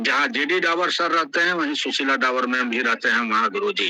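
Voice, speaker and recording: This man's voice sits high in pitch and makes very wide pitch swings. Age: 70s. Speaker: event host. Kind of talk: ceremonial welcome speech. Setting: online metaverse event. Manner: enthusiastic.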